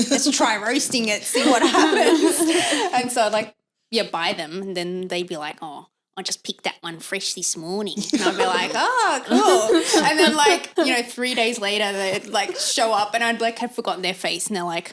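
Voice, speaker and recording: With an Australian accent, a woman speaks at a moderate pace and a fairly high pitch, her voice making very wide pitch swings. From Australia, Sydney. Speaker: podcast co-host. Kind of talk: casual chat.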